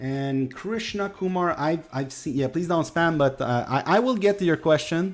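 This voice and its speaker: A man with a Quebec accent speaks at a moderate pace. His pitch is high, and he takes hardly any pauses. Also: lively intonation. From Quebec, Canada. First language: French. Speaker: gaming streamer. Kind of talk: live stream chat with viewers. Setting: live stream. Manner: halting, many fillers.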